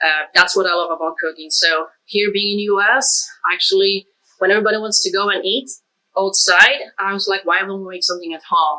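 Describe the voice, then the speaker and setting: Fairly even in intonation, a woman talks at a fairly quick pace and a medium pitch. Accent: Polish. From Poland. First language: Polish. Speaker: cook. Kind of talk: casual chat; tutorial. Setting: home kitchen.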